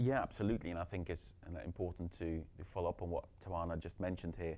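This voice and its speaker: This man's pitch is very deep and low. He talks at a fairly quick pace with fairly even intonation. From Belgium. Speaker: company executive. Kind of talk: panel discussion.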